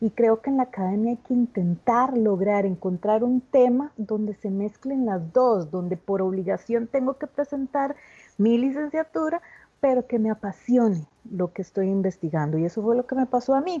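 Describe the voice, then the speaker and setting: A woman speaks in a plain, everyday voice at a moderate pace. Her pitch is fairly high, with lively intonation. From Costa Rica. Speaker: theatre artist and education researcher. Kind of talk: video conference talk. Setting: video call.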